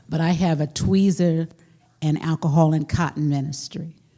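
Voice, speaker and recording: A woman with an American accent, her very deep, low pitch and dark, mellow tone somewhat breathy, at a fairly slow pace with ordinary pitch variation. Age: 60s. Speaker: preacher and homiletics professor. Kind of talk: panel conversation.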